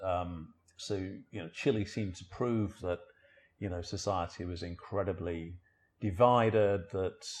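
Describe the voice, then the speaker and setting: Over a quiet background, a man with a somewhat breathy, fairly low-pitched voice talks at a moderate pace. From northern England, Sheffield. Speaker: journalist and author. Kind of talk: interview conversation. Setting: living room at home.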